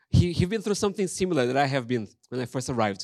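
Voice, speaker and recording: In a Brazilian accent, a man with a fairly high pitch speaks over a quiet background, the sound dry and close with no echo. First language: Portuguese. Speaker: pastor. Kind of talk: sermon. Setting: church.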